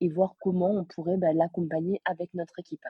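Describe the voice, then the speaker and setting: A somewhat breathy woman's voice, fairly low in pitch, at a fairly quick pace. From southern France, Aveyron. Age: 20s. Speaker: sales closer. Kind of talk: interview.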